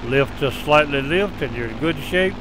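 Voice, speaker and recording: Over noticeable background noise, a man with a fairly high pitch and ordinary pitch variation speaks at a fairly slow pace. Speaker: flight simulator video narrator. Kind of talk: tutorial. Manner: loud.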